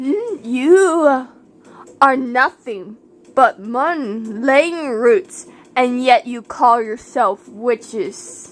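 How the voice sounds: Using a put-on character voice, a woman speaks at a very slow pace with high pitch and lively intonation.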